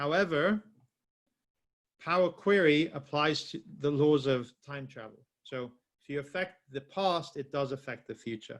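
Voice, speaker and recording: A man with a fairly high voice talks at a fairly slow pace, with ordinary pitch variation and big swings in loudness. He leaves long, frequent pauses against a quiet background. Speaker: software trainer. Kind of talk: webinar tutorial. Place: home room.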